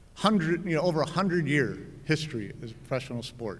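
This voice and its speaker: In a plain, everyday voice, a man with a fairly high pitch speaks at a moderate pace with ordinary pitch variation. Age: 60s. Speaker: hall of fame inductee, billiards journalist. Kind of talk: acceptance speech.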